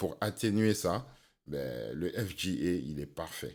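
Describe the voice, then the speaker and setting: A man's pitch leaps across a very wide range as he talks. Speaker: sound engineer and rapper. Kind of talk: tutorial.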